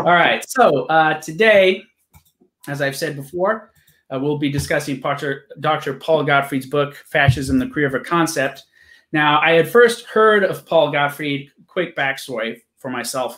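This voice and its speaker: Behind the man, the background stays quiet. His speech is fairly slow, with ordinary pitch variation. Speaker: interview host. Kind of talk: casual interview intro. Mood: relaxed, laughing. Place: home room. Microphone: webcam.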